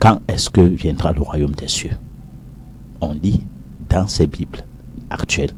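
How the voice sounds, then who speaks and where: A man's very deep, low voice at a very slow pace, with ordinary pitch variation and long, frequent pauses. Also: big swings in loudness. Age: 60s. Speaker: professor. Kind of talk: heated debate.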